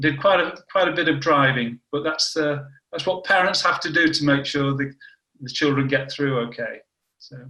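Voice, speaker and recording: A man with a northern English accent talks at a moderate pace with a fairly high pitch and fairly even intonation. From northern England, Warrington. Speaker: cancer biology scientist. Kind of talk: interview.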